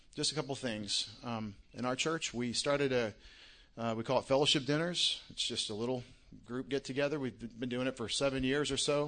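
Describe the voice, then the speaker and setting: Speaking at a fairly quick pace, a man with a Texan accent has a medium pitch, fairly even intonation and a bright, sharp tone. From Texas, Longview. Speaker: pastor. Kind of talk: speech at an event.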